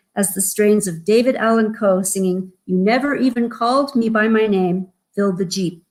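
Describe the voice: A quiet background behind plain reading aloud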